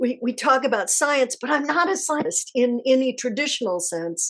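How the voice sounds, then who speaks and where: Against a quiet background, a woman speaks in a high pitch. Her pace is moderate. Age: 70s. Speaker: energy healer and spiritual teacher. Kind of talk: live Q&A class. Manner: casual, warm.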